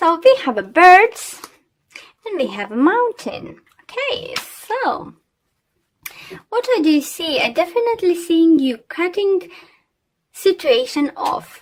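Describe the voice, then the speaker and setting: A woman's extremely high voice in a non-native accent, with very wide pitch swings and long, frequent pauses. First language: not English. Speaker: tarot reader. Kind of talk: tarot reading. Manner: hesitant, many fillers.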